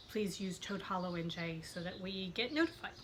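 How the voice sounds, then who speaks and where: A woman's voice with a bright, sharp tone and audible room echo. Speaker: podcast host. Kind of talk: casual chat.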